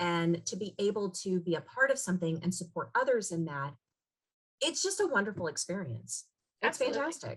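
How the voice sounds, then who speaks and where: A woman talks very fast at a medium pitch, her intonation lively and her voice showing vocal fry. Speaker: voice actress, business coach. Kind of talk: conversational interview answer.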